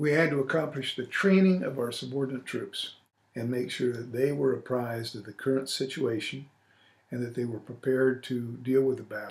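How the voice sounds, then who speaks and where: A somewhat breathy man with an American accent, a medium pitch, fairly even intonation, and a fairly quick pace. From US Midwest, Illinois. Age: 60s. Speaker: retired army officer, war veteran. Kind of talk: oral history interview. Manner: hesitant with fillers.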